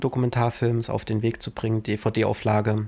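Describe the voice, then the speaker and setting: Moderate-paced male speech, very clean, with a silent background. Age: 20s. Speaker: filmmaker and podcast co-host. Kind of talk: casual chat.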